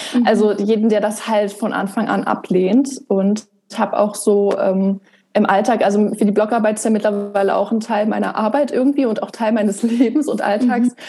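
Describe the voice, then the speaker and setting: With an ordinary speaking voice, a woman talks at a moderate pace in a fairly high pitch, her intonation fairly even. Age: 20s. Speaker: blogger and author on migraine. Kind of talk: podcast interview.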